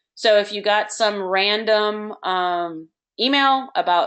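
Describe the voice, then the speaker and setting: Quiet surrounds this recording. The voice shows ordinary pitch variation. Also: woman. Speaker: youth soccer club director. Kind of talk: online meeting with screen-share tutorial. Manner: hesitant, many fillers.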